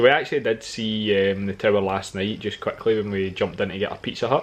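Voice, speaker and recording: A man with a Scottish accent talks at a very fast pace, with fairly low pitch and fairly even intonation. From Scotland. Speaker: travel vlogger. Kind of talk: casual chat.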